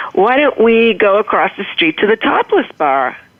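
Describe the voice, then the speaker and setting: Against noticeable background noise, a woman with an American accent talks at a moderate pace with lively intonation. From Boston, Massachusetts. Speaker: motivational humorist, author. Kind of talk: storytelling in interview.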